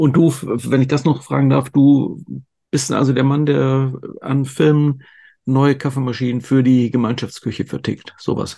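A dark, mellow tone delivered at a fairly slow pace with fairly even intonation. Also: man, medium pitch for a man. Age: 50s. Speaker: podcast host. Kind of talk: casual interview.

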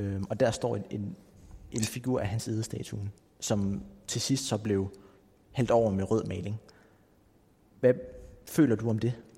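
Speaking at a very slow pace with long, frequent pauses, a man uses a fairly low pitch, a dark, mellow, somewhat breathy tone and ordinary pitch variation. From Greenland, Nuuk. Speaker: podcast host. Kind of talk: interview. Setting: cultural center in Nuuk. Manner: halting.

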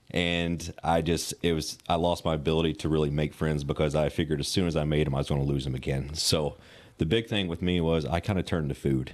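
A man talks at a very fast pace with a very deep, low pitch. His intonation stays fairly even, with a Southern US accent. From Western Kentucky. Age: 30s. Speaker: personal trainer. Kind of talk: casual interview. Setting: gym.

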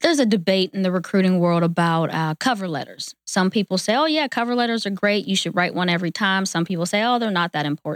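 A woman with an American accent talks at a very fast pace with hardly any pauses, lively intonation and a medium pitch, her voice dry and close with no echo on a very clean recording with a silent background. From western Pennsylvania, near Pittsburgh. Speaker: human resources and recruitment professional. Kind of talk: podcast interview.

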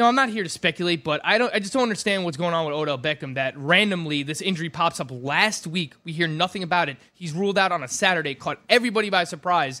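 A man's high-pitched, bright and sharp voice with an animated tone and lively intonation, at a very fast pace with hardly any pauses. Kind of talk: fantasy football radio show banter. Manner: animated, fast, excitable.

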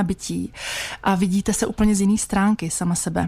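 A woman talks at a medium pitch. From Czech Republic, Vysočina region. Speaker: massage therapist. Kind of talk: radio interview. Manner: halting, many fillers.

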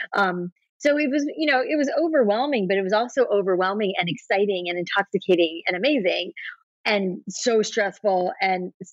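A woman with an American accent speaks at a moderate pace in an unremarkable speaking voice, medium in pitch with lively intonation, in a dry, close sound with no echo. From US South Florida. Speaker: entrepreneur, hair salon founder. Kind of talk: interview.

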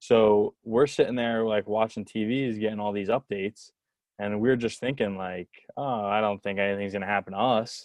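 A man with an American accent in a plain, everyday voice, fairly low in pitch, with fairly even intonation at a moderate pace. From New Jersey. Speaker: baseball video intern, former college pitcher. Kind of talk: casual interview chat.

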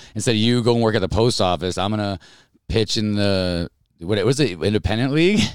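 A man with an American accent talks at a very fast pace, his fairly low pitch showing ordinary variation. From upstate New York (Albany). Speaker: stand-up comedian. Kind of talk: casual chat.

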